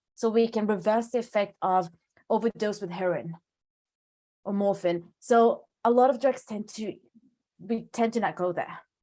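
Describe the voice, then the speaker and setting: In a dark, mellow tone with a non-native accent, the speaker moves at a moderate pace, pitch varying normally, with long pauses coming often. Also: woman, fairly high pitch for a woman. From Sweden. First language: not English. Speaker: pharmacologist. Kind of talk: lecture Q&A.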